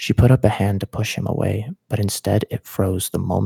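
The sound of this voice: An unforced reading voice shows ordinary pitch variation from line to line.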